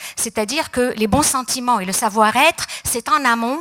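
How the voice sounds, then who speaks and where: A woman at a moderate pace, fairly high in pitch with ordinary pitch variation, amid noticeable background noise. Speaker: psychologist and speaker. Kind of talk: conference talk. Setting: stage with audience. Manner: hesitant, many fillers.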